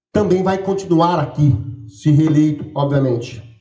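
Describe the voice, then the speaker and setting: A man with a São Paulo interior accent, very wide pitch swings and audible room echo. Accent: caipira accent from interior São Paulo. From rural interior of São Paulo state, Brazil. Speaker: campus director running for re-election. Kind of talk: election debate. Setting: auditorium with audience, livestreamed.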